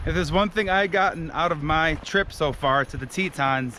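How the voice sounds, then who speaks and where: Noticeable background noise sits behind a man speaking at a moderate pace. His pitch is fairly high for a man, with ordinary variation. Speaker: travel vlogger. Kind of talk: casual vlog narration. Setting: outdoors on hiking trail. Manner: loud.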